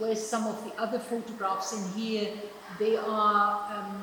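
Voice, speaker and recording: A woman of medium pitch, with audible room echo and noticeable background noise. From Germany. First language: German. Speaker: artist. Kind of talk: interview at exhibition event. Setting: gallery event. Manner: halting, many repetitions and fillers.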